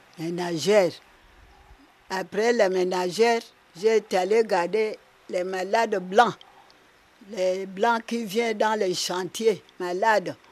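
A woman at medium pitch, with fairly even intonation, a very slow pace, and long, frequent pauses. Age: 80s+. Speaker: retired midwife. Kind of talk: interview.

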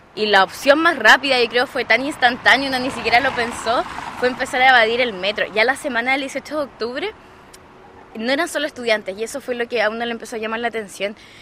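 Over noticeable background noise, a woman with a high pitch speaks at a very fast pace with ordinary pitch variation. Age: 20s. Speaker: student leader. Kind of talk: interview.

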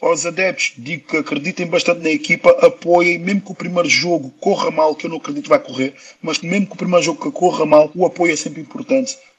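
A man's high-pitched voice at a very fast pace with lively intonation and hardly any pauses, over noticeable background noise. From Portugal, Lisbon. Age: 30s. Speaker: professional footballer. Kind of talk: interview.

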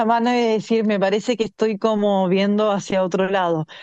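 A woman speaks at a fairly slow pace and a medium pitch, her dark, mellow tone kept in fairly even intonation, with a dry, close sound and no echo. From Chile. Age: 30s. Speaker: swimmer. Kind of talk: interview.

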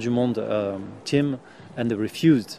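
Speaking in a French accent, a man uses a medium pitch at a moderate pace. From France. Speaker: volunteer rescuer. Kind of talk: interview.

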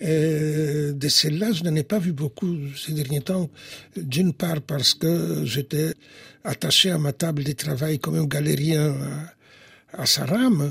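Speaking with a Polish accent, a man goes at a very slow pace. His fairly high voice has ordinary pitch variation. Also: dry, close sound with no echo. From Poland, Warsaw. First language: Polish (speaking French). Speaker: historian and philosopher. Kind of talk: interview.

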